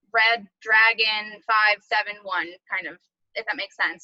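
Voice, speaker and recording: A woman speaks with a fairly high pitch. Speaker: teacher. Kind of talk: tutorial. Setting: video call. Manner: fast.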